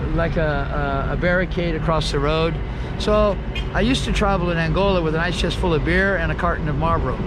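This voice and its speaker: A man talks at a very fast pace with audible room echo. Noticeable background noise can be heard. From USA, partly raised in Guatemala. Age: 60s. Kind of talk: interview.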